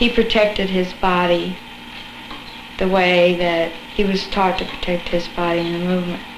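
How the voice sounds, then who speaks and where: With noticeable noise in the background, a woman speaks at a moderate pace in a flat, monotone way. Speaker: student civil rights activist. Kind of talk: interview. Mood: relaxed, thoughtful. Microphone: old recording.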